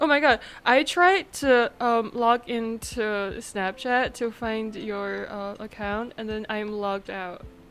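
A woman with a fairly high pitch speaks at a very slow pace while music plays in the background. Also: ordinary pitch variation. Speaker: podcast co-host. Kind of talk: casual chat. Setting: video call.

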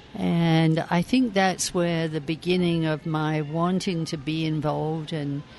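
This voice has a London accent. It moves at a fairly slow pace. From England, southeast London. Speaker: community activist. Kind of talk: interview. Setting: cafe.

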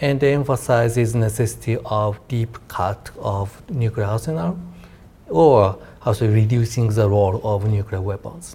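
With a Japanese accent, a man talks at a moderate pace in a medium-pitched, dark, mellow voice that is somewhat breathy, with ordinary pitch variation. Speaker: defense policy researcher. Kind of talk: panel discussion.

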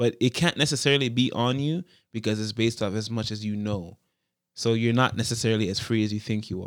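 The speech runs at a very fast pace with ordinary pitch variation on a very clean recording with a silent background. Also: man, medium pitch for a man. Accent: Toronto. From Toronto, Canada (Jane and Finch area). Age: 20s. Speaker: rapper and youth worker. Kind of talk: casual interview conversation. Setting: in-person room across a desk.

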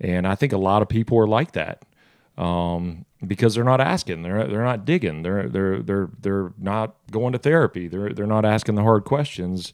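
Speaking in a Southern US accent, a man with a fairly low pitch talks at a moderate pace with lively intonation. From US South, South Georgia. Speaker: restaurant founder, former football quarterback. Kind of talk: casual interview.

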